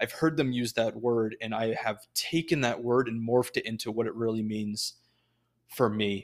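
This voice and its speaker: At a moderate pace and with fairly even intonation, a normal speaking voice comes through on a very clean recording with a silent background. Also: man, medium pitch for a man. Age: 20s. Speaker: podcast host. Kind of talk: solo monologue. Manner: casual with many fillers.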